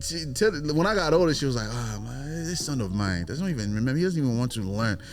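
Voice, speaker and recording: Very fast and animated, the voice makes very wide pitch swings amid noticeable background noise and audible room echo. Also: man, medium pitch for a man. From Zambia, then Oakland Bay Area from childhood. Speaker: visual artist. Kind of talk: casual chat.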